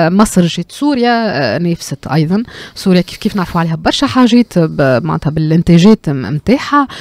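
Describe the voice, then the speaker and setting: A woman speaks at a fairly low pitch with very wide pitch swings, at a moderate pace. The sound is dry, with no echo. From Tunisia. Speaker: cultural economy commentator. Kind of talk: radio discussion. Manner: halting, many fillers. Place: studio. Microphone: studio mic.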